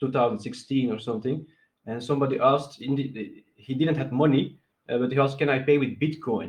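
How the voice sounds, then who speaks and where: A somewhat breathy man with a non-native accent, at a very fast pace, with a medium pitch and fairly even intonation. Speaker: crypto project founder. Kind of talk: video call interview. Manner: halting.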